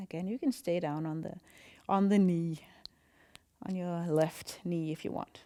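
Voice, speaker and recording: A woman with a Danish accent, a fairly low pitch with ordinary variation, a dark, mellow tone, a fairly slow pace and long, frequent pauses. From Denmark. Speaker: yoga instructor. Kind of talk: guided yoga class instruction. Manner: calm, slow.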